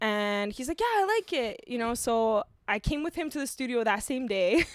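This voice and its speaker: The speaker has a Canadian accent and lively intonation. The pace is moderate. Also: woman, high pitch for a woman. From Canada (Toronto area), born in Ukraine. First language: Ukrainian. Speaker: singer-songwriter. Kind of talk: casual chat.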